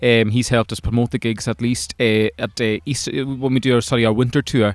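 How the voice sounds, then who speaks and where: A man with a Hebridean accent speaks at a very fast pace, medium in pitch with fairly even intonation, in a dry, close sound with no echo. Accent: Hebridean Scottish. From Scotland, Isle of Lewis. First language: Scottish Gaelic. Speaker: folk singer-songwriter. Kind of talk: interview. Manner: halting, repeated words.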